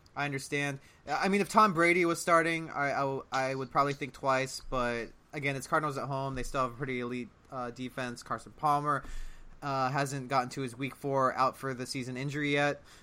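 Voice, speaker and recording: A man talks at a fairly quick pace with fairly even intonation, a plain, everyday voice. The recording is very clean, with a silent background. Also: fairly high pitch for a man. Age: 30s. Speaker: podcast host. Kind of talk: casual chat.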